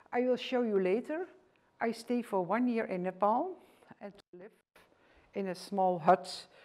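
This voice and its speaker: Speaking at a fairly slow pace, a woman with a Dutch accent holds a medium pitch. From Netherlands, rural village. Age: 60s. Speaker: author and former teacher. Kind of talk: presentation lecture. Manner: halting.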